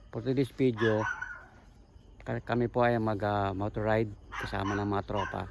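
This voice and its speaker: A quiet man with a fairly low pitch and monotone, flat intonation speaks at a moderate pace with long, frequent pauses over noticeable background noise. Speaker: vlogger. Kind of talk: casual vlog narration. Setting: outdoors on motorcycle ride. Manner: quiet, lowered voice.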